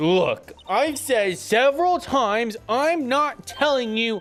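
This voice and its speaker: In a put-on character voice, the words come out at a fairly slow pace. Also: man, extremely high pitch for a man. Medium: game stream. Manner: snippy, dismissive.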